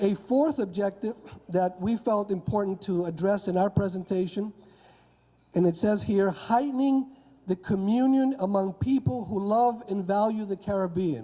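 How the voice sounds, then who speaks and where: In a Spanish accent, a man speaks with a high pitch. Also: ordinary pitch variation, moderate pace. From Honduras. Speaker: history professor. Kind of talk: conference talk. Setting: convention audience.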